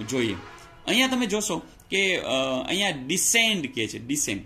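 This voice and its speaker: A man's bright, sharp voice with very wide swings in pitch. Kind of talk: tutorial. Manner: conversational, repeats filler words.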